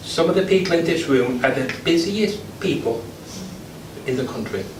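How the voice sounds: Audible room echo surrounds a man whose fairly high voice carries lively intonation. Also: moderate pace.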